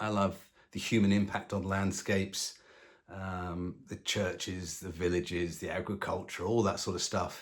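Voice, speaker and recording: Flat and monotone, a man speaks at a moderate pace and a fairly low pitch in a very clean recording with a silent background. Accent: southern English. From London, England. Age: 60s. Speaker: retired long-distance hiker. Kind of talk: casual self-introduction to camera. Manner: hesitant, many ums and uhs.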